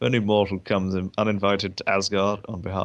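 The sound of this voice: The clip carries an unforced reading voice.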